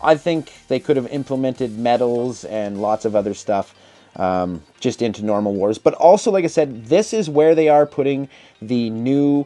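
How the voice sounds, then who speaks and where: Moderate pace over music in the background. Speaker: gaming YouTuber. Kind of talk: casual commentary video.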